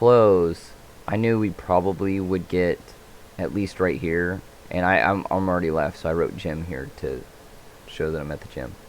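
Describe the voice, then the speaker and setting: A quiet, mumbling man at a very deep, low pitch, with ordinary pitch variation, big swings in loudness and a fairly slow pace. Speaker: day trader. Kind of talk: trade commentary.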